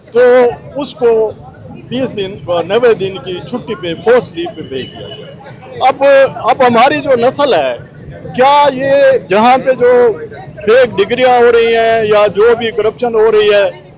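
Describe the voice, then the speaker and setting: With crowd noise behind him, a man talks in an extremely high pitch and lively intonation. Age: 70s. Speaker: protester, local elder. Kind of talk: protest interview.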